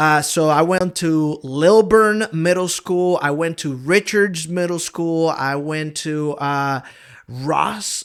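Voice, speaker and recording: The speech is very slow, in a strong Honduran accent. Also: man. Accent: thick Honduran Spanish. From Honduras, raised partly in Georgia, US. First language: Spanish. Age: 30s. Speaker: pastor. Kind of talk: casual interview chat. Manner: casual, hesitant with fillers.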